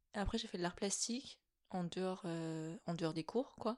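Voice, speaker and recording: A woman at a fairly slow pace with ordinary pitch variation, in an ordinary speaking voice. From French mountain region. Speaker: art director and designer. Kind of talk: casual interview. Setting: in-person chat over tea.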